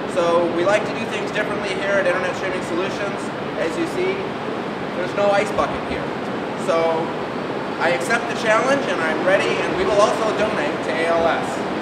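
The background noise is loud. A man speaks over it at a fairly quick pace. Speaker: company sales executive. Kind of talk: casual challenge video address. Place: street. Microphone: camera far.

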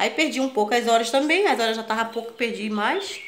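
A woman talks at a fairly quick pace, her pitch showing ordinary variation, with light background noise behind. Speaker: home vlogger. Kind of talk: casual vlog chat. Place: home room. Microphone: phone near.

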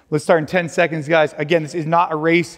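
A man talking at a very fast pace with fairly even intonation over faint music in the background. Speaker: fitness coach. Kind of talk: workout instruction. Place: gym. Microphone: lapel.

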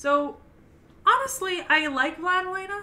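Loud and bright with a sharp tone, a woman speaks at a fairly slow pace. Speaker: anime podcast co-host. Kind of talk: casual chat. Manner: comes across loud.

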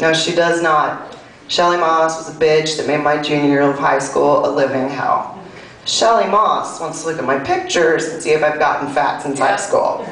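In a room with audible echo, a woman with an American accent and a very deep, low pitch talks at a moderate pace. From US South. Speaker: comedian. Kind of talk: stand-up comedy, self-deprecating confessional bits. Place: stage.

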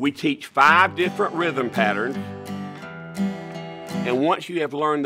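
A man's voice with clear music in the background. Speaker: inventor. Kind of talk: TV infomercial pitch. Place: studio.

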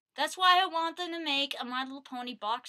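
Against a quiet background, a woman with a high pitch uses a raised, projected voice, a bright, sharp tone and lively intonation at a moderate pace. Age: 20s. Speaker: vlogger. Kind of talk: casual product review vlog. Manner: animated, frequent laughter. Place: home room. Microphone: webcam.

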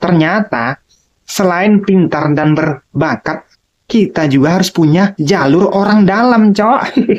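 Her intonation is lively. The woman's pitch is medium. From Minangkabau, West Sumatra. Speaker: stand-up comedian. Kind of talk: stand-up comedy. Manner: animated, punchy joke delivery with setup and punchline; casual slangy Jakarta-style speech, repeatedly addressing audience as 'cok'. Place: home room. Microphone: handheld.

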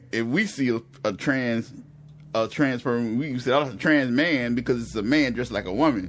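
This man has an unremarkable speaking voice at medium pitch with ordinary pitch variation. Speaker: podcast co-host. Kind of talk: casual chat.

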